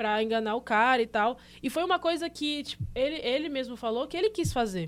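A woman with a high pitch talks at a moderate pace with lively intonation. The recording is very clean and the background silent. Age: 20s. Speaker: podcast co-host. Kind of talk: casual chat.

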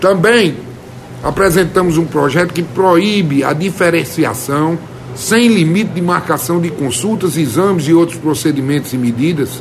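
This man has a high pitch and ordinary pitch variation, speaking at a moderate pace. Noticeable background noise and audible room echo come through. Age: 50s. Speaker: state legislator. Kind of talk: radio interview.

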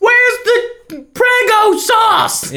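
A put-on character voice, female-sounding and extremely high in pitch. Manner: loud, calling across the room.

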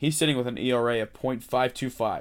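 At a fairly quick pace, a man with an American accent uses a normal speaking voice at a medium pitch with fairly even intonation. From Delaware County, Pennsylvania. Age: 20s. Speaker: podcast host and college student. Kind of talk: solo podcast commentary. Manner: casual, conversational.

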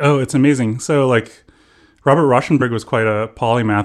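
A man with an American accent speaks with ordinary pitch variation on a very clean recording with a silent background. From Southern California. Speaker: ambient musician. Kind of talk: interview. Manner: halting.

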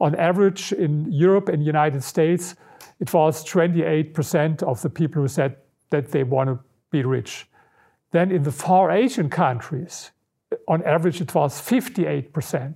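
Speaking with a German accent, a man has a fairly high pitch and a dark, mellow tone, with ordinary pitch variation at a fairly slow pace. The recording is very clean, its background silent. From Germany, Berlin. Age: 60s. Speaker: researcher and author. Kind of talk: interview.

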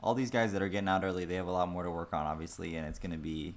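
Soft-spoken, a man talks in a very deep, low pitch with ordinary pitch variation. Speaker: hockey podcast co-host. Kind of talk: casual chat.

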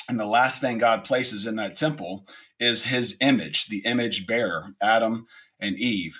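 With an American accent, a man talks at a moderate pace in a medium pitch, his tone bright and sharp and his pitch variation ordinary. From US South, Atlanta, Georgia. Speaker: pastor. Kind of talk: casual chat.

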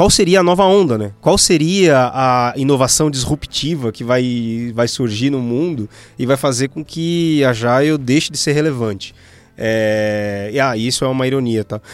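Speaking at a fairly slow pace, a man uses a plain, everyday voice. His pitch is medium, with ordinary pitch variation. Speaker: podcast co-host, agile consultant. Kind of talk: casual panel discussion.

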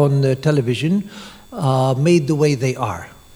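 A fairly high-pitched man amid noticeable background noise. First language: English (speaking French). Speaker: monk giving a lecture. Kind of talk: lecture. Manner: halting.

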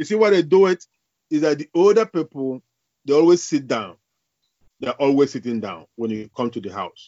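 Pausing long and often, a man with a Nigerian accent speaks at a fairly high pitch with very wide pitch swings. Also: moderate pace. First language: Igbo. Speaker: academic and author. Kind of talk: interview. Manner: halting.

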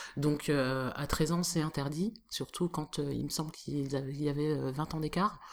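Very slow speech with fairly even intonation and hardly any pauses. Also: woman, very deep, low pitch for a woman. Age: 30s. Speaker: slam poet and activist. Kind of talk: interview.

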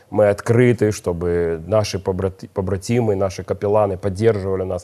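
Dark and mellow in tone, a man's fairly low voice keeps a moderate pace with ordinary pitch variation. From Odesa, Ukraine. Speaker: chaplain and minister. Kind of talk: religious talk show conversation.

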